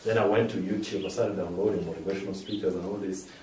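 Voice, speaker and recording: Audible room echo surrounds the speech. Its intonation holds fairly even. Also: man. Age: 20s. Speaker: motivational speaker. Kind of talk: audience Q&A; inspirational talk.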